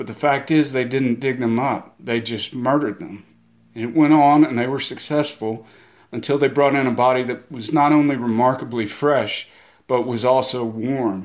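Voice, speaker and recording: Very cleanly recorded against a silent background, a man with a plain, everyday voice speaks at a medium pitch and moderate pace with fairly even intonation. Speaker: novelist. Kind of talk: guest intro about history.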